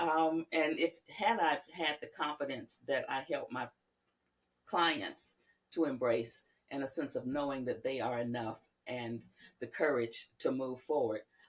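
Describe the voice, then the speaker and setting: An American accent at a fairly slow pace, with ordinary pitch variation. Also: woman, very deep, low pitch for a woman. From US South, rural Georgia. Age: 60s. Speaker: psychologist. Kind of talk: interview. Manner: hesitant, many fillers.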